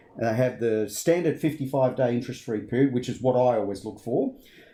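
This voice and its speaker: Lively intonation carries a dark, mellow tone delivered with an Australian accent. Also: man. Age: 50s. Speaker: finance commentator. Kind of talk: casual discussion.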